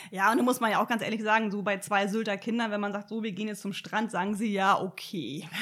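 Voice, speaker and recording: Noticeable background noise sits behind a woman's voice. She talks very fast with fairly even intonation and hardly any pauses. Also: medium pitch for a woman. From northern Germany, Sylt. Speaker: environmental initiative organizer. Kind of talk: casual interview.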